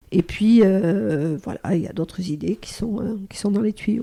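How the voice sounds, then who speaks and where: A woman's dark, mellow voice at medium pitch, at a fairly slow pace, in a very clean recording with a silent background. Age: 60s. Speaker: psychotherapist and training company manager. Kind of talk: podcast interview. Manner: hesitant, many fillers.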